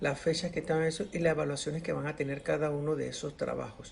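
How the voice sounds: A man speaks with a fairly high pitch and vocal fry. His voice shows little pitch movement.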